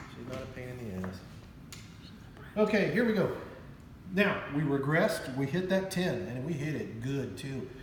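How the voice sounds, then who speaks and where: A shouting man at a moderate pace, with very wide pitch swings, big swings in loudness, and long, frequent pauses, plus audible room echo and noticeable background noise. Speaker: craps channel host playing dealer. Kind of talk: casual game commentary. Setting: at home. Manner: loud, half-yelling; animated.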